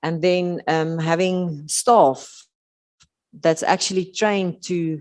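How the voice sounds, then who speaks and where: Speaking very slowly with a South African accent, a woman keeps a fairly low pitch and fairly even intonation. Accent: Afrikaans South African English. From South Africa, rural Western Cape. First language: Afrikaans. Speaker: occupational therapist. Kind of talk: conference talk. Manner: halting, many fillers.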